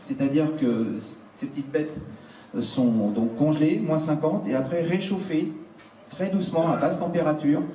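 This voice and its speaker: Over noticeable background noise and audible room echo, a man with a fairly high pitch talks at a moderate pace with lively intonation and long, frequent pauses. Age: 60s. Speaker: entrepreneur selling insect and algae foods. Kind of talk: product presentation to an audience. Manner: hesitant, many fillers.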